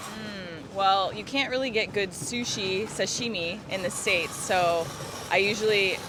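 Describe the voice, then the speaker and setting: A woman's medium-pitched voice with an American accent, with audible room echo and noticeable background noise. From US with Japanese mother, summers in Japan. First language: Japanese. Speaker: flight attendant. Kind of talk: casual chat.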